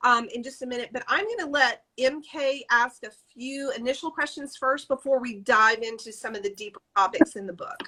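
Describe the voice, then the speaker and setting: In a Southern US accent, a high-pitched woman projects a raised voice with a bright, sharp tone, lively intonation and big swings in loudness, talking at a moderate pace with hardly any pauses. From Alabama and South Louisiana. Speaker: podcast host and author. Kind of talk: interview.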